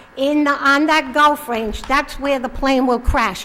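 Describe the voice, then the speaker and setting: Over noticeable background noise and audible room echo, a woman talks at a high pitch. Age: 70s. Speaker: resident speaking at public comment. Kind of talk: public comment speech. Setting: town council meeting with audience. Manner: animated.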